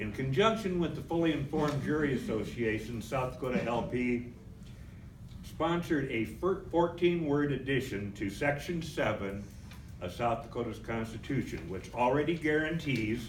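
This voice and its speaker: Audible room echo surrounds a man speaking in a medium pitch. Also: lively intonation, moderate pace. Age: 70s. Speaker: political activist. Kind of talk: convention speech.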